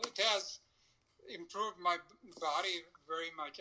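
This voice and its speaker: A man's high-pitched voice at a fairly slow pace. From India. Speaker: client. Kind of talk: consultation session.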